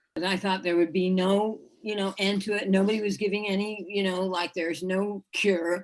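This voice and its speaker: Flat, monotone delivery at a moderate pace with hardly any pauses. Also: woman, medium pitch for a woman. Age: 60s. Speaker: Parkinson's patient sharing testimonial. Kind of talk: interview testimony. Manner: halting, many fillers and restarts.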